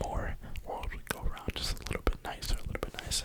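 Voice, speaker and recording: Someone whispers with an American accent over noticeable background noise. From New York (Brooklyn). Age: 20s. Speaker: ASMR creator. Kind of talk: whisper ramble. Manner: whispering.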